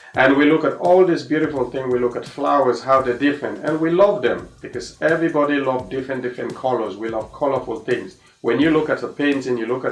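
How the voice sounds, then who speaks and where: A man with an African accent talks at a fairly quick pace, using medium pitch and ordinary pitch variation. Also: hardly any pauses. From Sierra Leone. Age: 30s. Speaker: tennis coach. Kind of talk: personal testimony. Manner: halting, many fillers.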